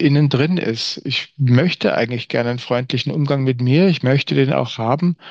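With an ordinary speaking voice in a medium pitch, a man talks at a moderate pace. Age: 50s. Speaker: communication trainer. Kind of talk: interview conversation.

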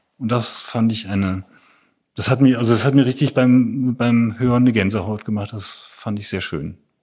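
At a moderate pace, a man with an ordinary speaking voice talks at a medium pitch and with fairly even intonation. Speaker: photographer. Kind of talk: interview conversation.

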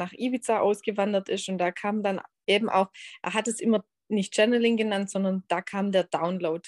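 A woman speaks at a moderate pace over a quiet background. The sound is dry and close, with no echo. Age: 30s. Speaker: human design coach. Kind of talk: interview. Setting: video call.

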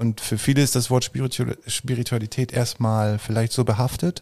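In a dry, close sound with no echo, a somewhat breathy man speaks at a fairly slow pace with ordinary pitch variation. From rural Germany, grew up on a farm. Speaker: painter. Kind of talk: casual interview.

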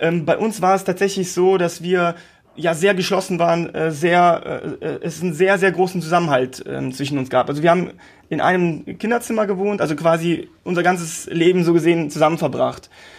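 Moderate in pace, a man speaks at a high pitch with fairly even intonation. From Lithuania, moved to Germany at primary-school age. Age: 30s. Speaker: entrepreneur. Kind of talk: interview. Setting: video call. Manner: hesitant, many fillers and repetitions.

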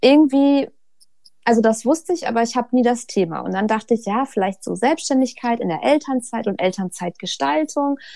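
Her voice fairly high in pitch with a dark, mellow tone, a woman talks at a fairly quick pace with lively intonation. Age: 30s. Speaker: author and mother of two. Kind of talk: casual interview.

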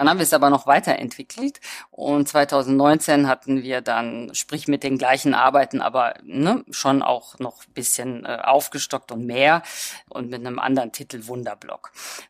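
A woman with a very deep, low pitch speaks at a moderate pace with fairly even intonation and big swings in loudness. The recording is very clean, dry and close, with no echo and a silent background. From Germany and Hungary. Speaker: visual artist. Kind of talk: interview.

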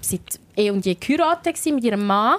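Recorded dry and close with no echo, a woman with a Swiss accent speaks at a fairly high pitch. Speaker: radio host and podcast co-host. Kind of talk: casual chat. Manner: animated, laughing often.

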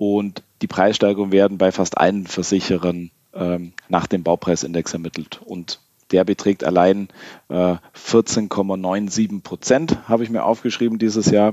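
A man speaks at a fairly low pitch and a fairly slow pace with fairly even intonation. His tone is dark and mellow, with a dry, close sound and no echo. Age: 30s. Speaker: insurance broker, managing director. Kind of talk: podcast interview.

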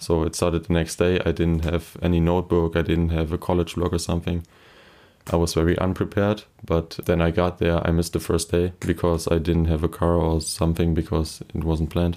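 A man with a German accent, very deep, low pitch and dark, mellow tone, monotone, flat intonation, very even loudness and a fairly quick pace. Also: very clean recording, silent background. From Germany, Kleve area. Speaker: first-semester student. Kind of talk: interview.

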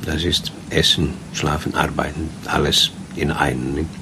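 The intonation stays fairly even over noticeable background noise. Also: man. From Sweden. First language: Swedish (speaking German). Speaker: cruise ship captain. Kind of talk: interview.

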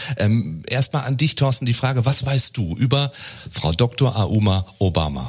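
A man's medium-pitched, somewhat breathy voice with lively intonation and very even loudness. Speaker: podcast host. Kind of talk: interview. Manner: filler-heavy.

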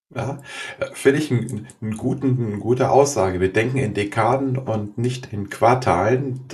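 Over noticeable background noise, a man talks at a moderate pace and medium pitch with fairly even intonation. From Germany, Göttingen. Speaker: podcast host, organisational consultant. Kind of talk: interview. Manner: halting.

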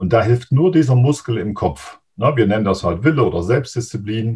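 A man's ordinary speaking voice at a medium pitch, with lively intonation and a fairly slow pace. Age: 50s. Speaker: mental coach. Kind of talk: interview.

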